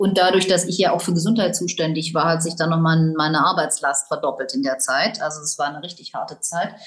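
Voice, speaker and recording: The delivery is fairly quick, with hardly any pauses. Intonation stays fairly even. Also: woman, fairly low pitch for a woman. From Tübingen, southwestern Germany. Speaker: lawyer, ministry official. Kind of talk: interview. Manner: hesitant, with many fillers.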